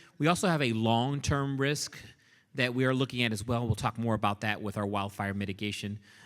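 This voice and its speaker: This man talks at a fairly quick clip in a medium pitch, with ordinary pitch variation. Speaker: meteorologist. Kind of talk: public presentation. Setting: community forum with audience. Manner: loud.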